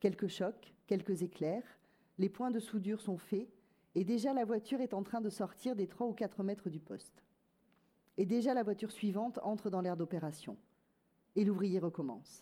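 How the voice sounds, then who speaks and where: A woman speaks at a medium pitch in a dark, mellow tone. Her pace is moderate, with ordinary pitch variation and long, frequent pauses. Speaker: reader presenting and reading a novel aloud.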